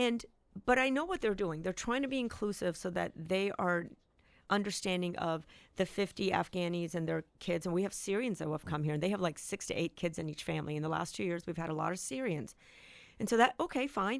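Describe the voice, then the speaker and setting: A woman with a plain, everyday voice speaks at medium pitch and a fairly quick pace, her intonation lively. The background is quiet. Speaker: school board member. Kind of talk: radio interview.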